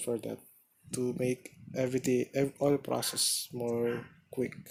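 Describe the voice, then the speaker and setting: His pitch sits in the medium range. This man's intonation is flat and monotone. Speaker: gaming guide narrator. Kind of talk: game tutorial commentary. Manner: hesitant, halting.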